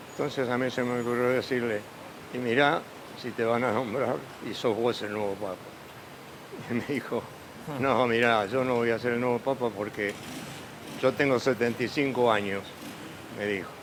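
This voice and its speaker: Over noticeable background noise, a man of medium pitch speaks at a moderate pace with fairly even intonation and long, frequent pauses. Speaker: pope's former schoolmate. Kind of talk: interview. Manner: halting.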